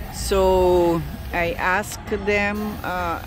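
There is noticeable background noise behind a man whose voice sounds dry with no echo. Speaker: van owner vlogger. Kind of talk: casual vlog chat. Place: street. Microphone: phone near.

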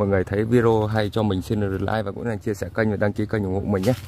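A very fast delivery, dry with no echo, over light background noise. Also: man. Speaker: farmer vlogger. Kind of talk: casual vlog walking tour. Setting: outdoors in fields. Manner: conversational, somewhat halting with fillers. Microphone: phone near.

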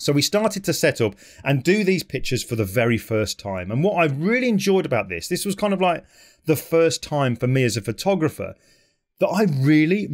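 A man talking at a fairly quick pace with very wide pitch swings, against a quiet background. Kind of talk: talk to camera about his work. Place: home room. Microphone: studio mic.

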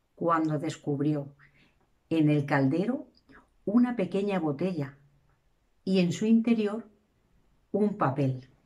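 Very slow speech from a woman with a fairly low pitch, long, frequent pauses, and a quiet background. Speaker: storyteller. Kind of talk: storytelling narration. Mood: calm, reflective. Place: home room. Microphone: camera far.

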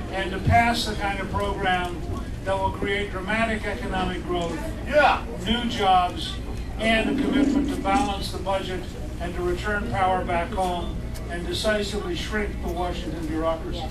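A man talks at a moderate pace while loud noise fills the background. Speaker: candidate. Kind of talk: campaign speech. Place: cafe.

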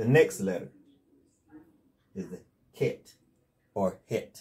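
A man speaks with a Southern US accent in a dark, mellow tone. His pace is fairly slow and his voice somewhat breathy. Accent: Southern US country. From North Carolina, USA. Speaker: religious teacher. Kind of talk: casual instructional talk to camera. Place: home room.

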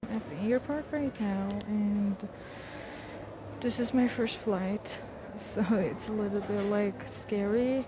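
Recorded with a dry sound and no echo, a woman speaks over noticeable background noise. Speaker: travel vlogger. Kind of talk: casual vlog chat. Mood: nervous then relaxed. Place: plane. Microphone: earbuds.

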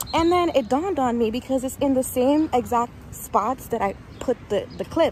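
The recording of this woman is dry with no echo, with light background noise. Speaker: vlogger. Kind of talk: casual vlog chat. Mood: upbeat, reflective. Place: street. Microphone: earbuds.

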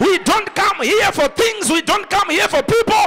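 A man with an extremely high pitch uses a raised, projected voice and an animated tone. His intonation is lively, with light background noise behind him. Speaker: preacher. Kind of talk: sermon. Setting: church with congregation. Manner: animated, rousing call-and-response preaching; emphatic, declaring prophecies and blessings. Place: church. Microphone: handheld.

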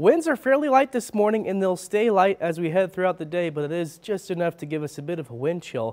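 Against a quiet background, a man talks at a very fast pace with hardly any pauses. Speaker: TV weather forecaster. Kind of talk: live morning TV weather report. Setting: TV studio. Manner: brisk, upbeat rundown of local temperatures, city by city; light banter with laughs and casual filler 'uh'. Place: studio.

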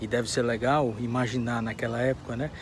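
Against noticeable background noise, a man speaks at a moderate pace in a dry sound with no echo. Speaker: history vlogger. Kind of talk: casual vlog chat. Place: open country. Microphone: phone near.

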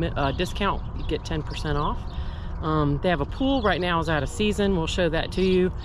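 A man is speaking. The sound is dry with no echo, and there is noticeable background noise. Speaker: RV traveler reviewing campground. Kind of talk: casual vlog chat. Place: street. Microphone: phone near.

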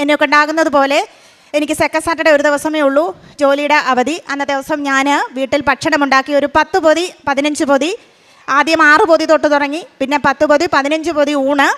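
The loudness stays very even throughout. The intonation is flat and monotone. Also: woman, high pitch for a woman. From Kerala, Idukki district. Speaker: school employee giving testimony. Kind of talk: testimony. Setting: church altar before congregation.

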